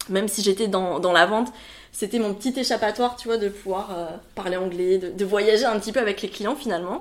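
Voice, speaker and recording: A woman with a medium pitch and ordinary pitch variation talks at a fairly quick pace amid noticeable background noise. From France, Bordeaux area. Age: 30s. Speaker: wedding planner. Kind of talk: interview. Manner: hesitant, many fillers.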